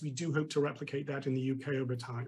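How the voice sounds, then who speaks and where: With a British accent, a man speaks very fast in a somewhat breathy voice with fairly even intonation. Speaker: tech company executive. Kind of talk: TV business interview.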